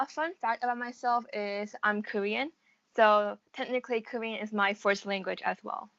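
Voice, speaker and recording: With a plain, everyday voice, a woman speaks at a moderate pace and a fairly high pitch, the sound dry and close with no echo against a quiet background. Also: ordinary pitch variation. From USA. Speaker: college student. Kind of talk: interview.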